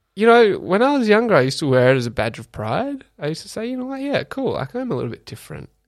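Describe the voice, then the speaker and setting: Very fast and with hardly any pauses, a man with an Australian accent shows big swings in loudness on a very clean recording with a silent background. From Australia, Canberra. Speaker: public servant. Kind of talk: casual chat. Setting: studio. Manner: hesitant, many fillers.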